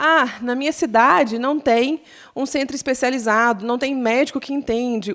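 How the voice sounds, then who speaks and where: The recording is very clean, with a silent background. A woman speaks in a high-pitched, animated tone. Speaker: lawyer speaking on patient rights. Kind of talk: talk at patient association event. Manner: fast.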